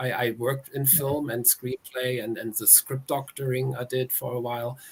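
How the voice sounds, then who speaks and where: A man of medium pitch with a German accent speaks with fairly even intonation over noticeable background noise. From Germany. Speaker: author. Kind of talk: interview.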